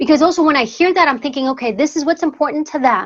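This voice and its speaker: The speaker is a woman. She has a New York accent. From US Northeast, New York City. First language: Greek. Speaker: former secret service agent and author. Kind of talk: interview conversation.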